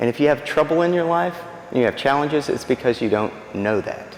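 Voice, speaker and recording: The voice has lively intonation and an American accent, with noticeable background noise. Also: man. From East Texas. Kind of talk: faith talk to a church audience. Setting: church with audience and microphone. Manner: animated.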